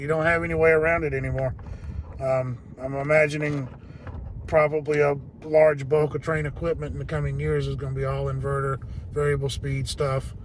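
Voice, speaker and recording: There is noticeable background noise behind a man talking at a fairly quick pace. He leaves long, frequent pauses. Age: 50s. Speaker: HVAC technician. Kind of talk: casual vlog talk to viewers.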